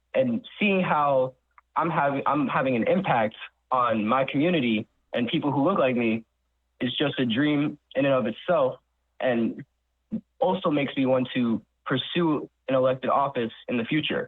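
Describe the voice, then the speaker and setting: A man speaks in an unremarkable speaking voice with a fairly high pitch and ordinary pitch variation. His pace is moderate and his loudness very even. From New York. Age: 20s. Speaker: college student intern. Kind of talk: radio interview.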